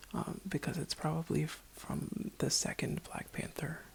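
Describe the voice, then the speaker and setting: A woman whispers at a fairly slow pace. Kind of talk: ASMR roleplay, casual talk to camera. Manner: soft-spoken, whispering.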